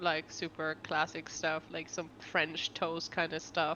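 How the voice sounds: Her tone is bright and sharp, and this woman's pitch sits fairly low. She speaks at a fairly slow pace.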